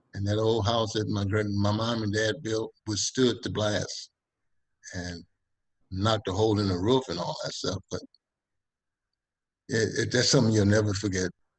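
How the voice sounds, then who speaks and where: With an American accent, a man speaks at a moderate pace in a fairly low, somewhat breathy voice, his intonation fairly even and broken by long, frequent pauses. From Texas (Texas City), later California. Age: 70s. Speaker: retired basketball player. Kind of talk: interview. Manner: halting, with frequent repetitions.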